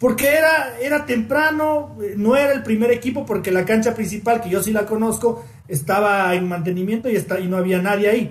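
A man's high-pitched voice, lively in intonation, at a fairly quick pace. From Ecuador, Quito highlands. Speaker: football podcast host. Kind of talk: casual chat.

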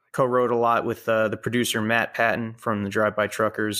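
A man with an American accent speaks at a medium pitch in a bright, sharp tone, on a very clean recording with a silent background. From Queens, New York City. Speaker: singer-songwriter. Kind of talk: interview. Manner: hesitant, many fillers.

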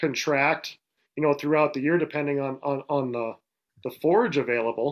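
Speaking with an Upper Midwest accent, a man with a fairly high pitch keeps a moderate pace and fairly even intonation. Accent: Upper Midwest American. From Western North Dakota. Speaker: rancher. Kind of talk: casual interview.

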